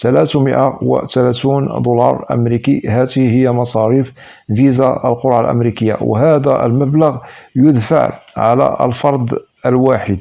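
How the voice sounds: A man speaks fairly quickly at medium pitch, with fairly even intonation and vocal fry.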